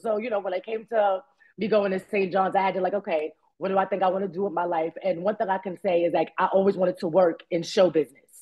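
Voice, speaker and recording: A woman's animated voice with a Bronx accent, very fast pace. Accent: New York, Bronx. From New York, the Bronx. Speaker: actress. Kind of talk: interview.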